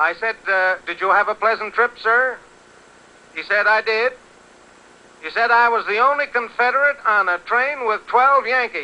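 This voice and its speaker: The speaker uses a raised, projected voice with an American accent. Pitch varies in an ordinary way, broken by long, frequent pauses. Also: man, extremely high pitch for a man, moderate pace. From Connecticut, USA. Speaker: radio announcer / interviewer. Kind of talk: 1930s radio broadcast report.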